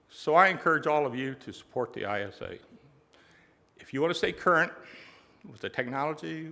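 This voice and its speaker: A man's bright, sharp, fairly high voice at a fairly quick pace, with long, frequent pauses, big swings in loudness, and ordinary pitch variation. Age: 70s. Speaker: business owner accepting award. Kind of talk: award acceptance speech. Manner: halting.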